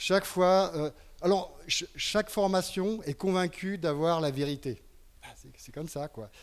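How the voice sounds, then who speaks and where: This man's voice sits high for a man, with ordinary pitch variation and a fairly slow pace. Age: 70s. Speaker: party representative. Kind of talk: political rally speech. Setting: public hall with audience.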